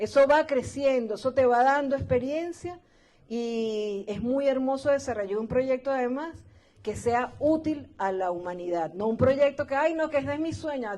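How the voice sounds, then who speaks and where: A woman speaks at a moderate pace with lively intonation, her high-pitched voice carrying a dark, mellow tone. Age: 60s. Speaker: radio host. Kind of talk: interview.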